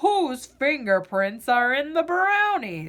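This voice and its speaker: The speaker uses a put-on character voice. Pitch swings very widely throughout. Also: woman. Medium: read story.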